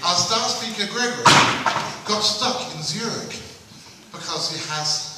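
A man talks with lively intonation. The audio carries audible room echo and noticeable background noise. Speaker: event organiser and compere. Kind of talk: stage introduction, humorous anecdotes. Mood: wry, humorous storytelling. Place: hall.

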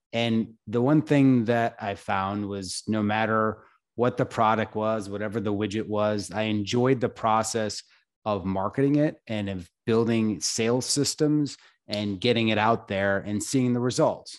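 With an American accent and an ordinary speaking voice, the speaker talks at a fairly slow pace with fairly even intonation over a quiet background. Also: man, fairly low pitch for a man. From upstate New York. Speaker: entrepreneur and investor; podcast guest. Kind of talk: interview. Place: home room. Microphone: studio mic.

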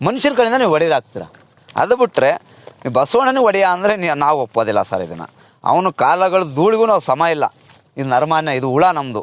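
A man with a high pitch and very wide pitch swings is heard in a dry, close sound with no echo. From Karnataka, Hassan district (Arasikere). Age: 40s. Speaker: cattle farmer. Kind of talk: casual interview.

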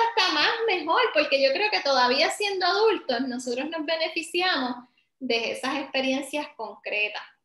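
A woman's raised, projected voice in a Puerto Rican accent, extremely high in pitch with very wide pitch swings, bright and sharp in tone, at a moderate pace, with audible room echo and a quiet background. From Puerto Rico, Ponce. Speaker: professor, early education. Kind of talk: online workshop presentation. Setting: video call. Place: home room. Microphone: video call.

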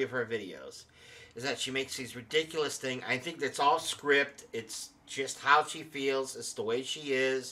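A man's bright, sharp tone with ordinary pitch variation. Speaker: channel host. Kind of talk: casual vlog commentary. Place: home room. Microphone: studio mic.

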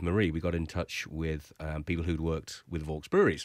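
A man with a very deep, low pitch talks at a fairly quick pace. The sound is dry with no echo, and the background is quiet. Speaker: guest. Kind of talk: interview answer. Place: studio. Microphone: studio mic.

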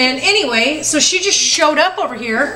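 A woman's raised, projected voice over light background noise. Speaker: parent vlogger. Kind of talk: casual vlog chat. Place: home room. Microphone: phone near.

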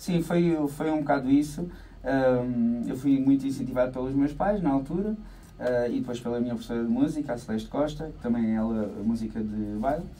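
Here a man speaks at medium pitch and a moderate pace, in a dark, mellow tone with ordinary pitch variation. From Portugal, Alentejo coast (Santiago do Cacém). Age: 30s. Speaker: accordion player and dance-band musician. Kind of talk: radio interview. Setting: radio studio. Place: studio. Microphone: studio mic.

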